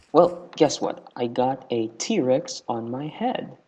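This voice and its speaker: Here a man speaks at a medium pitch. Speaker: gaming YouTuber. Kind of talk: casual gameplay commentary. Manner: stutter; halting.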